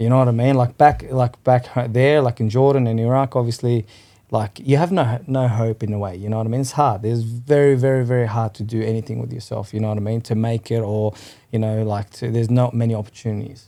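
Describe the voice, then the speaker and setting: A man's very fast delivery in a medium pitch, with a dark, mellow tone and fairly even intonation. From Western Sydney, Australia. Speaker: cafe owner. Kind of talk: casual chat.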